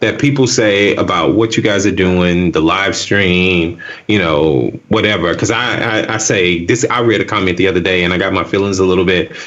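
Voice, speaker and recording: With a Southern US accent and a very deep, low pitch, a man speaks at a moderate pace with ordinary pitch variation and very even loudness, amid noticeable background noise and audible room echo. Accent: Southern US accent, says axe for ask. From US South. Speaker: tech video creator. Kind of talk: casual chat.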